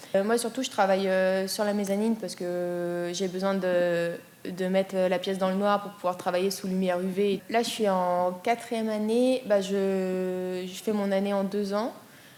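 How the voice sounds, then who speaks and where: A woman speaks at a fairly slow pace in a monotone, flat intonation, her pitch medium. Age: 20s. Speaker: art student. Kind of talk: interview. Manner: hesitant, many fillers.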